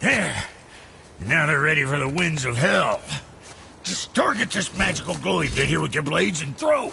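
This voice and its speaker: A man in a put-on character voice speaks at a moderate pace with long, frequent pauses over clear background noise. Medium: video game. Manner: folksy, hurried.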